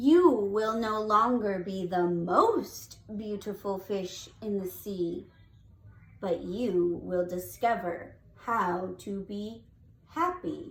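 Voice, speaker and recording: A put-on character voice moves at a very slow pace with a fairly high pitch. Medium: read story. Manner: slow, solemn.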